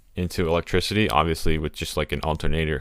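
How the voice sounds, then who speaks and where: Vocal fry marks this voice with an American accent, moving at a fairly quick pace. The recording is very clean, with a silent background. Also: man. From Texas. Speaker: podcast co-host. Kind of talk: casual chat.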